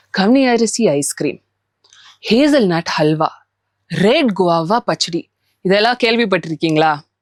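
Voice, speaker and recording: Dry and close, the sound carries no echo. Wide, very large pitch swings run through the speech. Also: woman, medium pitch for a woman. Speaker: podcast host. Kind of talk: podcast interview questions.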